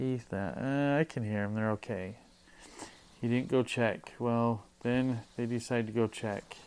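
A man's ordinary speaking voice at a medium pitch, fairly slow pace, and fairly even intonation. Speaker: podcast co-host. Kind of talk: casual chat.

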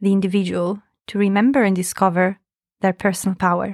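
In an Italian accent, a woman speaks in a flat monotone. The sound is dry and close with no echo, on a very clean recording with a silent background. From Italy. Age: 30s. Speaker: podcast co-host and personal power coach. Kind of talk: casual chat.

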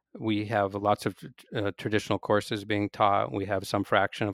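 In a very clean, dry, close recording with no echo and a silent background, a man with a Pacific Northwest accent speaks at a moderate pace and fairly low pitch. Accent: American (Pacific Northwest). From US Pacific Northwest (Seattle). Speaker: physics professor. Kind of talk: interview. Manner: halting, many fillers and restarts.

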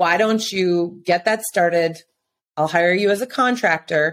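A woman's ordinary speaking voice, fairly low, with an American accent, ordinary pitch variation and a fairly slow pace. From central Minnesota. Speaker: self-defense training company founder. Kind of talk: interview.

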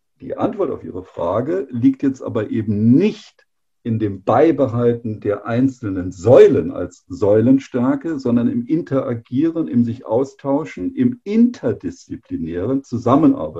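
A man talks at a fairly slow pace. He leaves hardly any pauses. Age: 50s. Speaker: engineering executive. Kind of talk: interview.

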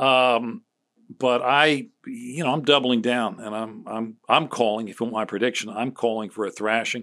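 Recorded very cleanly against a silent background, a man with a Philadelphia accent speaks at a medium pitch in a bright, sharp tone with fairly even intonation. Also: moderate pace. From Philadelphia area, Chester County. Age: 60s. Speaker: political strategist. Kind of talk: casual chat.

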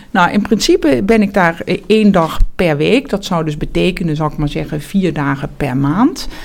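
Against noticeable background noise, a woman with a fairly low pitch talks at a moderate pace with lively intonation. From Netherlands, South Limburg (Heerlen). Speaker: surgeon and professor. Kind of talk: interview. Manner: hesitant, many fillers and repetitions.

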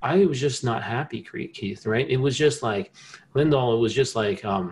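A man with an American accent speaks at a moderate pace and medium pitch, somewhat breathy, with ordinary pitch variation. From New Jersey. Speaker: inventor and scientist. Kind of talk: interview conversation.

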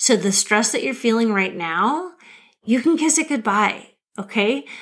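On a very clean recording with a silent background, a woman with an American accent and an ordinary speaking voice talks with a fairly high pitch and lively intonation. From Nebraska, US Midwest. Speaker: podcast host, career coach. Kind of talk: solo podcast monologue.

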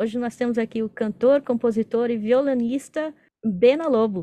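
At a fairly slow pace, a woman talks in a high voice. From Brazil, São Paulo. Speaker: podcast host. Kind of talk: casual interview.

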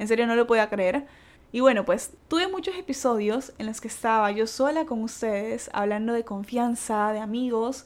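This is a woman with an unremarkable speaking voice and a fairly high pitch. She talks at a moderate pace with ordinary pitch variation. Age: 20s. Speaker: podcast host. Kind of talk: casual monologue.

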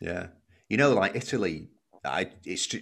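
A man speaks with a Lancashire accent. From Wigan, northern England. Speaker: podcast host. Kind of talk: casual interview.

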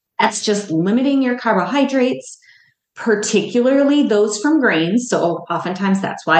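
This woman has an unremarkable speaking voice. Her pace is moderate. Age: 50s. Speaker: dietitian and podcast host. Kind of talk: solo educational podcast talk.

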